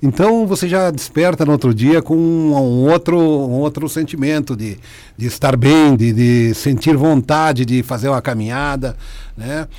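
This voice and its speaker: Here a man talks at a fairly slow pace in a fairly high pitch, with a dark, mellow tone and ordinary pitch variation. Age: 50s. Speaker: patient, sales representative. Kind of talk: radio interview.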